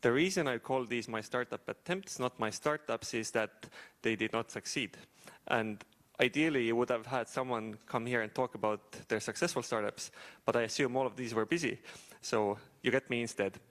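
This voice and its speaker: A man with an Estonian accent speaks at a moderate pace and medium pitch with ordinary pitch variation, in a very clean, dry, close recording with a silent background and no echo. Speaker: startup founder and AI engineer. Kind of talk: talk to an audience.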